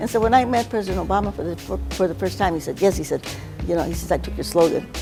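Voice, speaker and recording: A woman's very fast speech, with music in the background. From Mexican-American. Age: 80s+. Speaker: civil rights activist. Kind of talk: interview answer.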